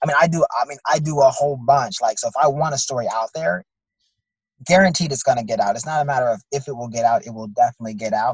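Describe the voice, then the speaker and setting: A man's fairly high, somewhat breathy voice with lively intonation at a very fast pace. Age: 30s. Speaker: entrepreneur and media owner. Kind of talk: interview. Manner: halting, many fillers.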